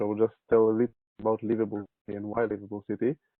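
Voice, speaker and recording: A very fast-talking man with a medium pitch and an Israeli accent. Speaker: urban planning consultant. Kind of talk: webinar presentation.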